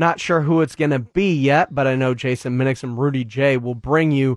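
In a quiet background with a dry, close sound and no echo, a man with a normal speaking voice talks at a moderate pace and a fairly high pitch. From Texas. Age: 40s. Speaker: sports radio host. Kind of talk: sports radio talk show. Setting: radio studio.

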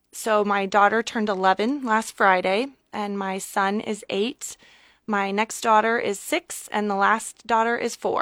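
With a Midwestern American accent, a woman speaks at a fairly high pitch and a fairly slow pace, with fairly even intonation and a dry, close sound with no echo. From Nebraska. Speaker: state senator. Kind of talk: radio interview.

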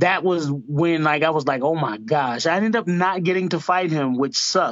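With an American accent, a man speaks in an unremarkable speaking voice, fairly high in pitch with ordinary pitch variation. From Georgia, US South. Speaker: MMA fighter. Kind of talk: interview.

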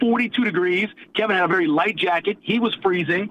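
A man talks at a moderate pace with ordinary pitch variation while noticeable background noise continues behind him. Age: 50s. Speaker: radio show co-host. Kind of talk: storytelling.

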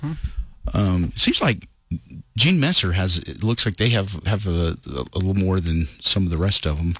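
Somewhat breathy, a man with a fairly low pitch speaks at a moderate pace. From New Mexico. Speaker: country radio morning host. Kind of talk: casual morning radio chat. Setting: radio studio.

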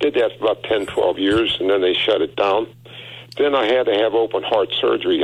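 The background has noticeable noise. Through it, a man is talking. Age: 80s+. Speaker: caller. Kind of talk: call-in anecdote. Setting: phone call.

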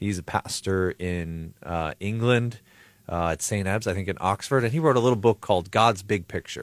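A man with a normal speaking voice talks at a moderate pace, fairly low pitch and ordinary pitch variation. The recording is very clean with a silent background and a dry, close sound with no echo. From Buffalo, New York. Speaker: pastor and preaching trainer. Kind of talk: radio interview. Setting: studio.

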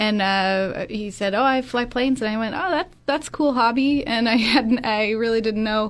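A woman talks with hardly any pauses at a fairly high pitch with ordinary pitch variation, in a normal speaking voice. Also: moderate pace. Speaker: museum development director. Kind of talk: radio interview. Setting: studio.

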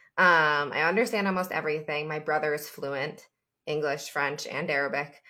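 In a very clean recording with a silent background, a woman with an American accent speaks in a bright, sharp tone at a very deep, low pitch. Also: ordinary pitch variation, moderate pace. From upstate New York. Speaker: clothing brand founder. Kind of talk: casual interview.

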